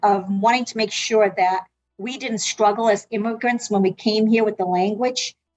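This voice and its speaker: A fairly high-pitched woman at a moderate pace, music playing behind her. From South Africa, then Massachusetts from age 12. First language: Portuguese. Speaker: medical interpreter and healthcare consultant. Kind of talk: interview answers.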